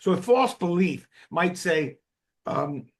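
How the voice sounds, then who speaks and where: With a New Jersey accent, a man speaks with lively intonation against a quiet background. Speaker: psychiatrist, drug developer. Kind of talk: expert interview explanation.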